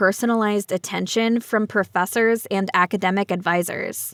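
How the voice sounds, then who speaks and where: In a very clean recording with a silent background and a dry, close sound with no echo, a woman speaks at a fairly high pitch. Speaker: English teacher. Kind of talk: reading aloud. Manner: slow.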